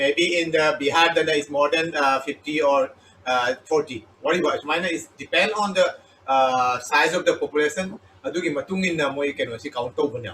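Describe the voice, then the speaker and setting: A man's fairly high, bright and sharp voice in a Manipur accent, moderately paced with ordinary pitch variation. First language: Manipuri. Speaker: interviewer. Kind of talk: interview. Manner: halting.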